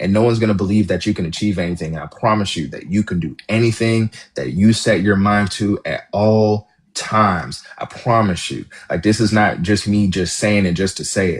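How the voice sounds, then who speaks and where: With an animated tone, a man speaks in a fairly low pitch that shows ordinary variation. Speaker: author. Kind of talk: interview. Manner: fast.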